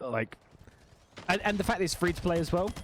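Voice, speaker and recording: A man talks with an Essex accent. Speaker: gaming streamer and interviewer. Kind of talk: casual chat while gaming.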